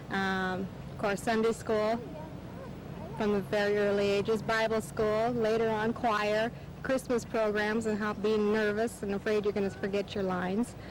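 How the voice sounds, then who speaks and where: A moderately paced delivery in a Midwestern US accent, very even in loudness, with a monotone, flat intonation. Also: woman, fairly high pitch for a woman. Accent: US Midwest. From Iowa. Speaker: church member. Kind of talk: interview.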